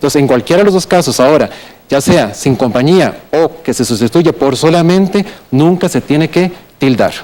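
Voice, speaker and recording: Over noticeable background noise, a man with a fairly high pitch speaks at a moderate pace. His intonation is lively. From Costa Rica. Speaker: writer and philologist. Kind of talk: TV language segment explanation.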